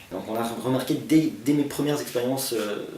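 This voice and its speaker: A man talks at a fairly slow pace. Room echo is audible, and background noise is noticeable. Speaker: actor. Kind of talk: interview.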